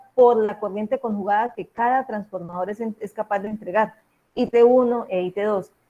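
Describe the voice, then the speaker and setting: A woman's voice with a fairly high pitch. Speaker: university lecturer in electrical engineering. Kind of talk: lecture. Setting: video call. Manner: fast.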